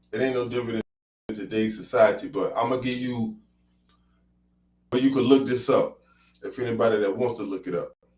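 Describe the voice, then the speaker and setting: Fairly quick overall yet broken by long, frequent pauses, this man's somewhat breathy medium-pitched voice holds a fairly even intonation. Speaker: Hebrew Israelite teacher. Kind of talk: religious teaching.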